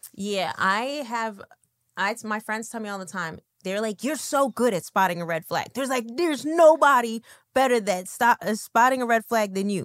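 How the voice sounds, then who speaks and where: A woman with an unremarkable speaking voice talks at a moderate pace with lively intonation and fairly high pitch. The recording is very clean, with a silent background and a dry, close sound with no echo. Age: 30s. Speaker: podcast host. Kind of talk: casual interview.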